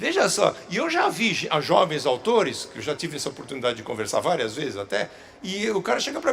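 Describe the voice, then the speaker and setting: A man talks at a fairly quick pace with hardly any pauses. Noticeable background noise runs underneath. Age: 60s. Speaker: children's book author. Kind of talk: public talk Q&A. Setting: stage with audience. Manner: halting, repeats words.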